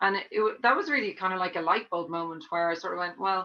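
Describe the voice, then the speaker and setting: A woman with a bright, sharp tone talks over a quiet background. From Ireland, Dublin. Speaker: tennis coach and veteran player. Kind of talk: podcast interview.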